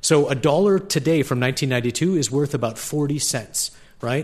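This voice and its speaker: The voice is somewhat breathy, its pitch varying in an ordinary way. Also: man. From Canada. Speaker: state transportation official. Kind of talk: formal debate. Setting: stage with audience.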